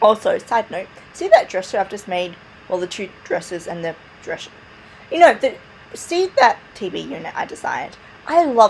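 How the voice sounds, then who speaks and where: Very wide pitch swings run through speech at a moderate pace, over noticeable background noise. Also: woman. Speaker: gaming video creator. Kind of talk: voiceover narration of a build video. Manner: casual, chatty.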